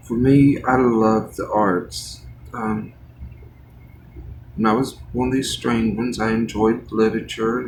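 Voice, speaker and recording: With audible room echo, a man speaks at a medium pitch and a fairly slow pace, using fairly even intonation and long, frequent pauses. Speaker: art livestreamer. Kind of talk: casual chat while painting. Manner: halting.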